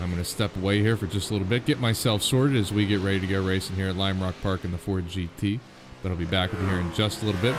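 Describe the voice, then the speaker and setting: Speaking very fast with hardly any pauses, a man with a Pittsburgh accent keeps his pitch fairly low and varies it in an ordinary way. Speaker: sim racing league host and commentator. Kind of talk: live stream commentary intro. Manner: casual, with many fillers.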